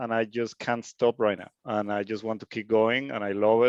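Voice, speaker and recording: With a Spanish accent, a man talks at a moderate pace, the sound dry and close with no echo over a quiet background. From Venezuela. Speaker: hobby DJ learner. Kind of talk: self-introduction in group call.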